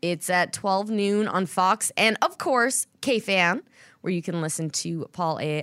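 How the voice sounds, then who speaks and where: An ordinary speaking voice from a woman, fairly low in pitch and fairly slow, with a dry, close sound and no echo. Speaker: podcast host and team sideline reporter. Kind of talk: casual podcast hosting and interview. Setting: studio.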